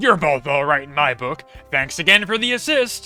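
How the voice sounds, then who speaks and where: Putting on a character voice, a man speaks at a fairly high pitch and moderate pace with very wide pitch swings and big swings in loudness while faint music plays in the background. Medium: virtual streamer. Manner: hearty, boisterous.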